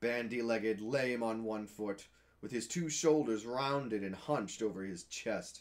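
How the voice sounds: Pitch moves in an ordinary way here. The voice is a natural reading voice.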